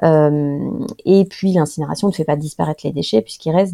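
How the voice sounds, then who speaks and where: Speaking at a moderate pace, a woman uses a very deep, low pitch with fairly even intonation. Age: 30s. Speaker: author and environmental expert. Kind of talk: interview. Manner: halting, many repetitions and fillers.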